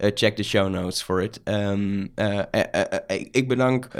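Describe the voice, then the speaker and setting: A man with a Dutch accent. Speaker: podcast host. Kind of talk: interview. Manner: halting.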